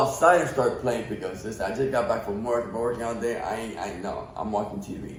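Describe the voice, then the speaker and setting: Lively intonation marks this man's medium-pitched voice at a fairly quick pace. Audible room echo and noticeable background noise surround him. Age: 50s. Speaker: podcast guest. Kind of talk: casual chat.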